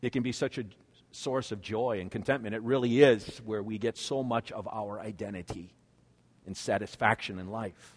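A man's ordinary speaking voice with a Canadian accent, medium in pitch, fairly even in intonation, at a moderate pace with big swings in loudness, over a quiet background. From Canada. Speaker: pastor. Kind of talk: sermon.

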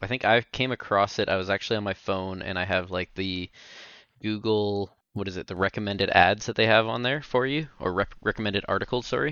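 An ordinary speaking voice with ordinary pitch variation goes along at a fairly quick pace. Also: man, fairly low pitch for a man. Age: 30s. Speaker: podcast co-host. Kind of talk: casual chat.

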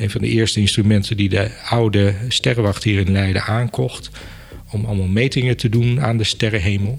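A man speaks at a moderate pace in a somewhat breathy, fairly low voice. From Netherlands, Apeldoorn (Gelderland). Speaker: museum director. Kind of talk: interview.

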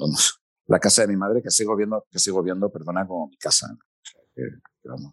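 A man's very deep, low voice with vocal fry, a fairly quick pace broken by long, frequent pauses, lively intonation and big swings in loudness, in a dry, close sound with no echo. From Spain, Asturias (Gijón). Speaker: foreign correspondent journalist. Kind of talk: interview conversation.

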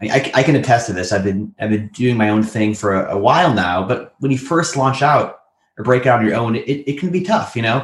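A man speaks fairly quickly at a medium pitch. His voice is somewhat breathy, with lively intonation. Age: 30s. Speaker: podcast co-host. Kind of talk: casual interview. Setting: remote call.

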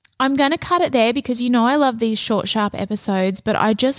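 A woman speaks with an Australian accent. The sound is dry and close with no echo, and the recording is very clean over a silent background. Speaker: podcast host and business coach. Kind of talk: casual solo podcast monologue. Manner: soft.

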